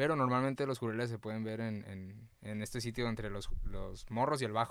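Speaking fairly quickly with ordinary pitch variation, a man with a normal speaking voice comes through on a very clean recording against a silent background. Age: 20s. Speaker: snorkel guide. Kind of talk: casual chat. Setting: in a van.

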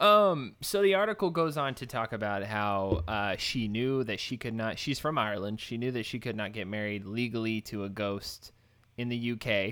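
Over a very clean recording with a silent background, a man speaks with an American accent at a moderate pace. His tone is bright and sharp, with medium pitch and ordinary pitch variation. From Texas. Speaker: podcast co-host. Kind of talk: casual chat.

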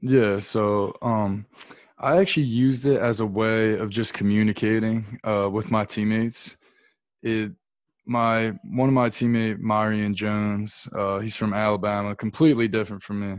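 Fairly even intonation and a moderate pace mark an ordinary speaking voice, with an American accent. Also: man, fairly low pitch for a man. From US, Delaware County, Pennsylvania. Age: 20s. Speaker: college basketball player. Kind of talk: casual interview.

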